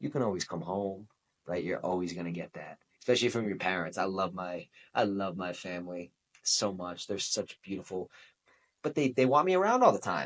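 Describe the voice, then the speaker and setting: Speaking at a fairly quick pace with a Boston accent, a man has a very deep, low pitch. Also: ordinary pitch variation. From New England (Boston). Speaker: podcast host. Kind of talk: motivational podcast monologue. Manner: animated.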